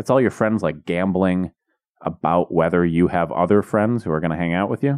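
A man with a very deep, low voice speaks at a fairly quick pace. The sound is dry and close with no echo, and his pitch varies in an ordinary way. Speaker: comedy podcast co-host. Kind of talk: casual chat. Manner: loud.

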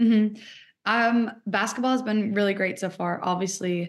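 A woman with an American accent has a plain, everyday voice and fairly even intonation. She talks at a moderate pace against a quiet background. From Seattle, US Pacific Northwest. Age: 20s. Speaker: college soccer and basketball athlete. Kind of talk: interview.

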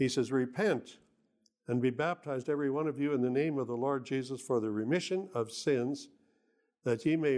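A man speaks at a moderate pace. His medium-pitched voice shows ordinary pitch variation. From Canada. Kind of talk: sermon. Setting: church. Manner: halting.

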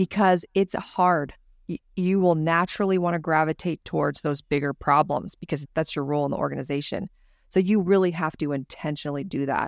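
A woman with an American accent speaks at a fairly quick pace in a very deep, low pitch with fairly even intonation. The sound is dry and close with no echo. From California. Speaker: business owner. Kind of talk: casual chat.

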